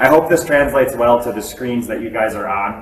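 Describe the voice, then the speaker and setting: Amid audible room echo and noticeable background noise, a man with an American accent speaks at a fairly quick pace. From Wisconsin. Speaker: physics professor. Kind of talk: classroom demonstration. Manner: loud.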